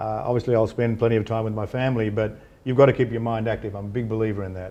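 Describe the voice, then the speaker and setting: In an Australian accent, the voice has a dark, mellow tone and a monotone, flat intonation. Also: man. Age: 60s. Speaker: businessman and philanthropist. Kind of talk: interview. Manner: hesitant, repetitive fillers.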